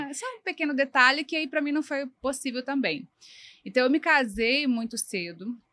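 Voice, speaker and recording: A woman speaks at a moderate pace in a raised, projected voice, her high pitch and bright, sharp tone carrying ordinary pitch variation. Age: 40s. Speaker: designer. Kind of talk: interview.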